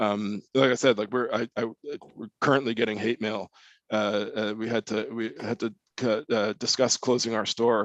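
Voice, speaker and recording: With monotone, flat intonation, a man speaks in a dry, close sound with no echo. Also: medium pitch for a man, moderate pace. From Canada, Toronto eastern suburbs. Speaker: publisher. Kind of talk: interview conversation. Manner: halting, many repetitions.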